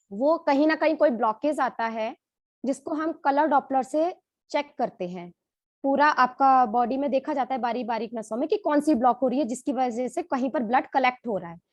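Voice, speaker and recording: A woman speaks at a high pitch. The background is quiet. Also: ordinary pitch variation, moderate pace. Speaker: doctor. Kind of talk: testimony.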